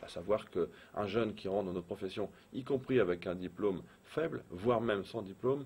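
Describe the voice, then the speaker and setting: The speaker is a man with an ordinary speaking voice. His pitch is fairly low. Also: ordinary pitch variation, fairly quick pace. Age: 40s. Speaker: business owner. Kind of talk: interview.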